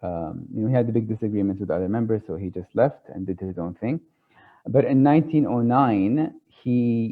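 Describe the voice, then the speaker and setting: With an Arabic accent, a man talks at medium pitch with lively intonation. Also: moderate pace. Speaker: tarot speaker. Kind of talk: lecture. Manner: halting, many fillers.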